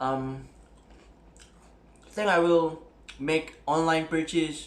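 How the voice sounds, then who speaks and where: This man speaks with a Malaysian accent and fairly even intonation. Room echo is audible. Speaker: camera hobbyist YouTuber. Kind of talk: tutorial. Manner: casual, code-switching English and Malay; hesitant, many fillers.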